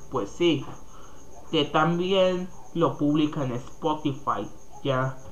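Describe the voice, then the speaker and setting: Very slow pace with long, frequent pauses. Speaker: podcast host. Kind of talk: casual monologue. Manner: halting.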